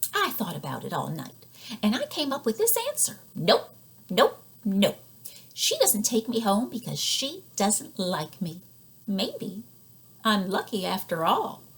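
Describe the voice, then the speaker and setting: Putting on a character voice, a woman sounds squeaky, with a fairly high pitch. She moves at a fairly slow pace with long, frequent pauses. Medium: read story.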